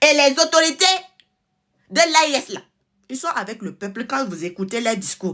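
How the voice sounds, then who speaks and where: In a raised, projected voice with a bright, sharp tone, a woman speaks at a moderate pace with a high pitch and very wide pitch swings. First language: a Togolese native language (speaking French). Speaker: political commentator, channel owner. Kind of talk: online political monologue. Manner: animated.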